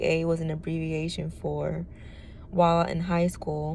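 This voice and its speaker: This woman has a fairly low pitch. Her tone is dark and mellow. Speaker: testimony vlogger. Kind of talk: reading aloud; testimony. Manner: monotone.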